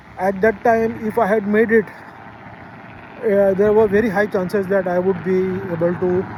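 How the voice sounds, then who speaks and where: Through noticeable background noise, a man speaks fairly slowly in a high, monotone voice with flat intonation. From Pakistan. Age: 60s. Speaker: travel vlogger. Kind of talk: casual monologue vlog. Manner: hesitant with many fillers.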